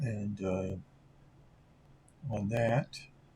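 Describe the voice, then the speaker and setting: A man's somewhat breathy voice at medium pitch, with an American accent. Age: 70s. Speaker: sports card collector YouTuber. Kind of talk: casual vlog monologue. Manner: halting, many filler words.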